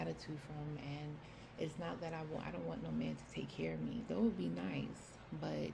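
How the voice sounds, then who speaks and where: Speaking at a moderate pace, a woman is heard with noticeable background noise and audible room echo. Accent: American. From New York City. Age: 30s. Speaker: personal vlogger. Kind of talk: personal testimony. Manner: casual, halting with fillers.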